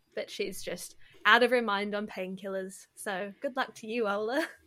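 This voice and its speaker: On a very clean recording with a silent background, a woman with a New Zealand accent speaks at a moderate pace. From New Zealand, south. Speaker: podcast host. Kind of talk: casual interview.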